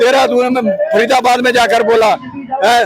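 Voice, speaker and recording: A man with fairly even intonation over music in the background. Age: 70s. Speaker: retired soldier, protester. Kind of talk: protest speech to reporter. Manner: impassioned.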